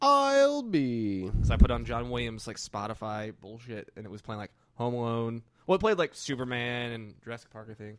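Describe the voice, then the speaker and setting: A man with an ordinary speaking voice, medium pitch and ordinary pitch variation, at a moderate pace with big swings in loudness. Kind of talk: casual chat.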